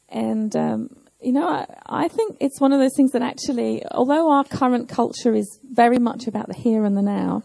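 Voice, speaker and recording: A woman at a moderate pace, in a dry, close sound with no echo. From southern England. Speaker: pastor. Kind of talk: sermon. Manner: measured, pausing for interpreter.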